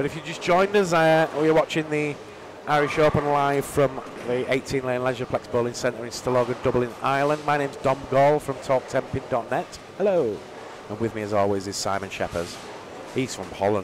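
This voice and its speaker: A man's medium-pitched voice with lively intonation at a fairly quick pace, over noticeable background noise. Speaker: bowling commentator. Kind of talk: live commentary. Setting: live stream from bowling centre.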